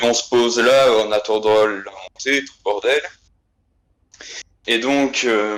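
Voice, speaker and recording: A man's medium-pitched voice in a Belgian accent, at a very slow pace with fairly even intonation. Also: big swings in loudness. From Belgium, Liège. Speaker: guest telling an anecdote. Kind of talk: casual storytelling. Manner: hesitant, many fillers.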